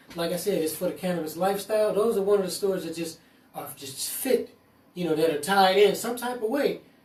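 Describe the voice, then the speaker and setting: A man with a high pitch talks at a fairly quick pace with ordinary pitch variation over noticeable background noise. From US West Coast, East Oakland, California. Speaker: cannabis entrepreneur. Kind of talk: casual chat.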